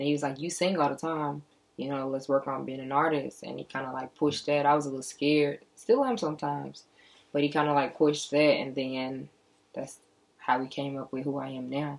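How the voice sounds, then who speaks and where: A fairly quick pace with fairly even intonation. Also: woman, very deep, low pitch for a woman. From St. Louis, Missouri (Baden); Missouri. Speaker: singer-songwriter; interviewee. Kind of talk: interview. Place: studio.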